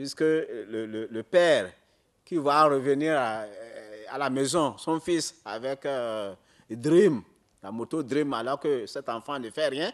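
Moving at a very slow pace, a man speaks with ordinary pitch variation. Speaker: data protection commission member. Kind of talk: answering questions at a conference. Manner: halting.

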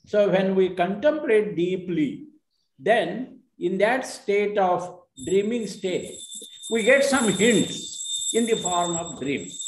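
The man talks very slowly in a high pitch. Audible room echo surrounds the speech. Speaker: audience member. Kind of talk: discussion comment. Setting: video call. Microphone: video call.

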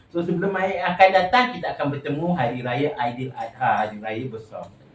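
Noticeable background noise sits behind a man with a high pitch. He speaks at a moderate pace in an animated tone. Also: very wide pitch swings. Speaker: vlogger. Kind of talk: casual chat.

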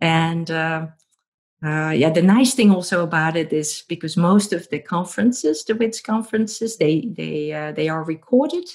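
A woman speaks with a Dutch accent at a fairly low pitch and moderate pace. The background is quiet. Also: lively intonation. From Netherlands. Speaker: professor. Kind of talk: interview. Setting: remote call. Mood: warm, cheerful. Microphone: earbuds.

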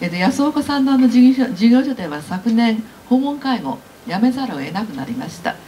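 At a moderate pace, a woman speaks with lively intonation over light background noise. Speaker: press conference moderator, care advocacy organizer. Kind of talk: press conference. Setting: press conference room. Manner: hesitant, many fillers. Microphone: podium.

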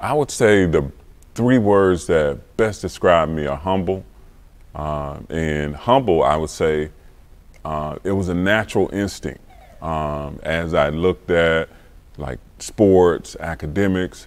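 A man speaks with an American accent at a very slow pace. His voice is very deep and low, with ordinary pitch variation. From Florida Panhandle, US South. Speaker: entrepreneur. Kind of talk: interview. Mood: reflective, personal story. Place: home room. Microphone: lapel.

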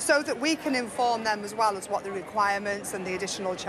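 Noticeable background noise sits under a woman speaking at a very fast pace. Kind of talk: interview answer and customer talk. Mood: cheerful, emotional. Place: hall.

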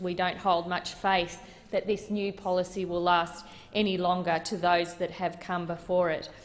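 Fairly even intonation carries a woman's moderate-paced speech. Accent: Australian. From Australia. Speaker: senator. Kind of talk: parliamentary debate. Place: hall. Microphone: podium.

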